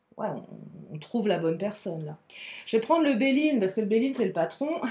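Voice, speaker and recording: A woman's pitch swings very widely as she talks against noticeable background noise. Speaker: tarot card reader. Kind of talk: tarot reading. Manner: animated.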